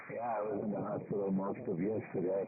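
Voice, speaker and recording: A man with an American accent and fairly even intonation, with noticeable background noise. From New York. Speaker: amateur radio operator. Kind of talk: amateur radio net chat. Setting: ham radio transmission.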